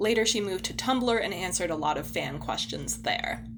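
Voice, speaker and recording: Music plays behind a woman as she talks. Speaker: podcast co-host. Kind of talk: casual chat; scripted narration.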